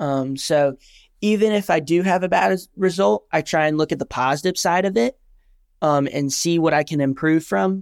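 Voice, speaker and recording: In a normal speaking voice, a man with a fairly high pitch talks at a moderate speed, his pitch varying in an ordinary way. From US South, North Carolina coast. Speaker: paddleboard racer. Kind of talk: interview.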